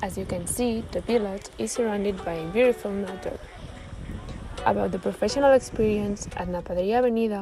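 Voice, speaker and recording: A woman speaks fairly quickly at a medium pitch with ordinary pitch variation, over noticeable background noise. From Catalonia. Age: 20s. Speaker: vocational student. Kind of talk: prepared presentation. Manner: halting, with many fillers.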